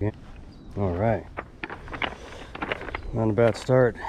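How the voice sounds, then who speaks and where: The man's voice sits fairly low. Light background noise is present. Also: dry sound with no echo. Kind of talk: casual vlog chat. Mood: pleased, relaxed. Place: waterside. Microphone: phone near.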